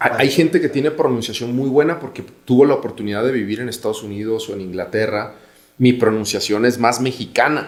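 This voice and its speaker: Here a man speaks at a medium pitch. He goes at a fairly quick pace with ordinary pitch variation. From Mexico, Guadalajara. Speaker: business executive. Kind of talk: podcast interview.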